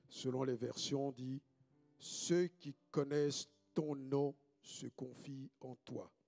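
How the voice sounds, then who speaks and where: A man speaks very slowly in a fairly high, monotone, flat voice, the sound dry and close with no echo and music in the background. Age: 60s. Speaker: pastor. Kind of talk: sermon.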